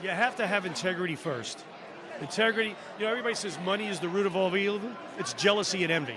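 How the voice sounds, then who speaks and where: Over noticeable background noise and audible room echo, a man talks at a very fast pace in an animated tone with ordinary pitch variation. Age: 60s. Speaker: former reality show contestant. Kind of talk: casual chat. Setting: live stream at podcast convention.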